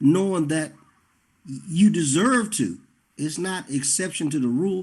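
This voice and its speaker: A man with a high voice speaks at a fairly slow pace, his intonation lively. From Carolinas. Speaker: talk show host and singer. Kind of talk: interview.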